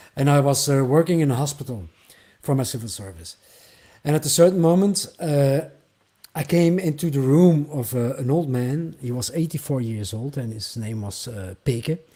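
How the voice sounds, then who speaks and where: A man with a Flemish accent speaks at a moderate pace in a fairly high pitch, his dark, mellow tone somewhat breathy, with lively intonation and big swings in loudness. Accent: Flemish Dutch accent in English. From Flanders, Belgium. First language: Dutch (Flemish). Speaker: singer-songwriter. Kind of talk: interview. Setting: livestream.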